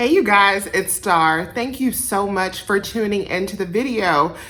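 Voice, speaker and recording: Medium pitch, ordinary pitch variation and a moderate pace from a woman, against noticeable background noise. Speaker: couponing youtuber. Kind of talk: casual tutorial vlog.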